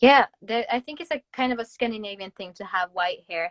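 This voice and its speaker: Here a woman speaks with a Norwegian accent. Her voice sounds dry and close, without any echo. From Norway. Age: 20s. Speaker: Instagram influencer. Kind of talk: casual livestream chat.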